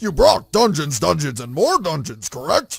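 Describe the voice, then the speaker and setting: This is a cartoonish character voice from a man. His pitch is fairly high. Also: moderate pace. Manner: earnest, nerdy.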